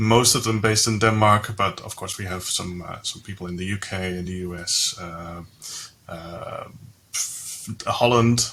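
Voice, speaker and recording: A man with a Dutch accent speaks at a moderate pace in a bright, sharp tone, fairly low in pitch with fairly even intonation. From Netherlands. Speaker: software company employee. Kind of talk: casual interview.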